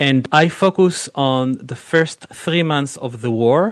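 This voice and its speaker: A man with an Israeli accent and ordinary pitch variation. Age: 40s. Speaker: film director and producer. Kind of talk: interview.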